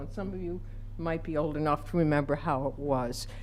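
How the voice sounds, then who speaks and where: A woman with an American accent talks at a moderate pace, her intonation lively and her voice showing vocal fry. Audible room echo surrounds her. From Utica, New York. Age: 70s. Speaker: public commenter. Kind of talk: public comment. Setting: city council meeting.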